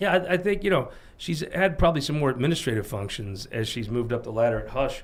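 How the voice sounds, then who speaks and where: A man with an American accent talks at a very fast pace, his pitch medium and somewhat breathy. His pitch swings are very wide. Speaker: political talk show host. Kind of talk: casual political panel discussion. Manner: halting, with frequent repetitions and fillers.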